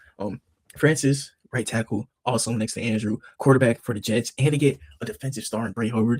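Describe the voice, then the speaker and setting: A man at a medium pitch talks at a fairly quick pace, somewhat breathy, in a dry, close sound with no echo. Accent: American. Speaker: sports YouTuber. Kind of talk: casual solo commentary. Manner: animated.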